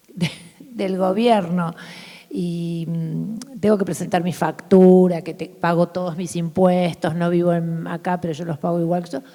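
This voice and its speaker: Her voice sits at a fairly low pitch for a woman. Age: 60s. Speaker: artist. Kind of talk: public conversation. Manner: animated.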